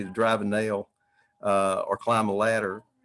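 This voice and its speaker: In a Southern US accent, a man speaks at a moderate pace and medium pitch with fairly even intonation. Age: 70s. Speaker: retired dentist and builder. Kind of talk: online Q&A panel. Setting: livestreamed online meetup.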